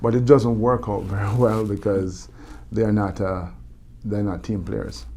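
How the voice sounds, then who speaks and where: A man with a Jamaican accent talks at a fairly slow pace, his pitch fairly low and its variation ordinary. His tone is dark and mellow, and the room gives an audible echo. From Jamaica, Kingston. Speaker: motivational speaker, former Olympic bobsledder. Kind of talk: interview. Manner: halting, many repetitions and fillers.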